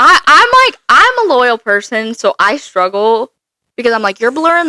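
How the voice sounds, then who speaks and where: Dry and close with no echo, a woman's voice comes across in an animated tone. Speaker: book podcast co-host. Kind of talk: casual chat. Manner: fast.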